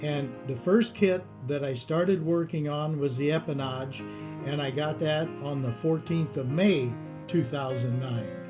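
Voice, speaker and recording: Music plays in the background as a man speaks at a fairly slow pace. His pitch is fairly high, with ordinary variation. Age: 70s. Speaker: retired army pilot, kit plane builder. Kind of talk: interview answer. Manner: relaxed, hesitant.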